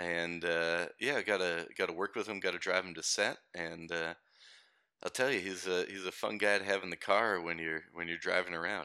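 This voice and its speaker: With a bright, sharp tone, a man talks at a moderate pace in a very deep, low pitch and fairly even intonation. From Canada. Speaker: podcast guest. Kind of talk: casual chat. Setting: remote call from Australia.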